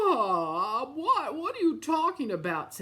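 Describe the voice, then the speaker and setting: A woman puts on a character voice. She talks fairly slowly at a high pitch. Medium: read story.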